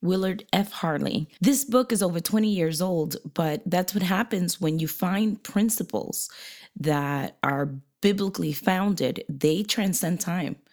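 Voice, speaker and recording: In a normal speaking voice, a woman at medium pitch uses lively intonation at a fairly slow pace, on a very clean recording with a silent background. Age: 40s. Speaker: podcast co-host, pastor's wife. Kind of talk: casual chat. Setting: guest apartment in New Hampshire.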